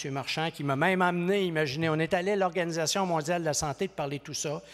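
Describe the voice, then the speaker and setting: Speaking at a very fast pace, a man with a high pitch shows big swings in loudness on a very clean recording with a silent background. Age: 60s. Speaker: professor. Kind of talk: conference speech. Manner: animated.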